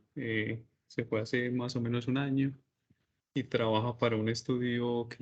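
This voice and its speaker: A man speaks with a Paisa Colombian accent. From Colombia, Medellín. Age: 30s. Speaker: business administrator. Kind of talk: online interview.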